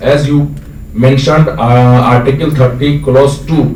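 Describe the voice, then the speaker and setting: Noticeable background noise and audible room echo fill the recording. The voice has ordinary pitch variation. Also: man. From India, Bihar (Araria district). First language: local Bihari dialect of Hindi. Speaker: audience member asking a question, university alumnus. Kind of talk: audience question at a public lecture.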